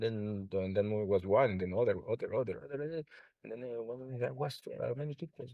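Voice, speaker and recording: With a Spanish accent, a man speaks at a moderate pace and uses ordinary pitch variation. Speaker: sound healer. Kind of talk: interview. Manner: halting.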